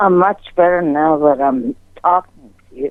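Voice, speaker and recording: Using an unremarkable speaking voice, a woman talks at a fairly slow pace with a fairly low pitch and lively intonation. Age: 60s. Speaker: caller. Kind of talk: call-in conversation. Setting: phone call.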